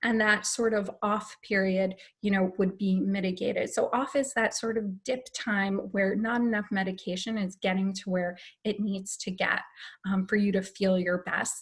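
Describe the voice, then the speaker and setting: Speaking at a fairly slow pace, a woman has a medium pitch, fairly even intonation and a somewhat breathy voice. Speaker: patient advocate / foundation staff. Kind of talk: informational talk on video call.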